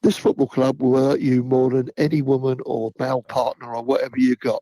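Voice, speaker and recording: A man's dark, mellow tone in a monotone, flat intonation. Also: medium pitch for a man, dry, close sound with no echo. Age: 70s. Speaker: football fan. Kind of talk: casual chat.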